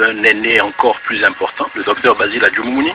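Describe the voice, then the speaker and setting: A man speaking at a moderate pace over music in the background. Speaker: radio columnist. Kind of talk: radio commentary.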